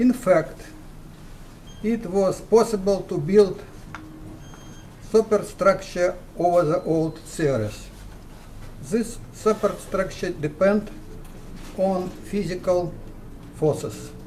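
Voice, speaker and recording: Speaking very slowly with long, frequent pauses, a man uses a high pitch with ordinary pitch variation. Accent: Russian. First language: Russian. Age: 70s. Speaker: physicist. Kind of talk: recorded greeting. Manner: formal.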